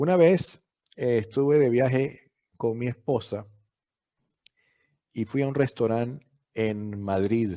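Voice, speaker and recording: In a dark, mellow tone, the speaker goes at a very slow pace with long, frequent pauses and ordinary pitch variation. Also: man, medium pitch for a man. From Venezuela. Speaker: law professor and dean. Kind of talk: interview. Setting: video call. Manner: halting.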